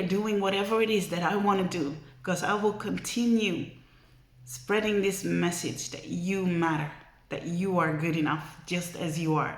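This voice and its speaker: Audible room echo and noticeable background noise surround a woman speaking at a moderate pace and medium pitch with ordinary pitch variation. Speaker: vlogger. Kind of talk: motivational vlog talk. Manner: emotional, earnest.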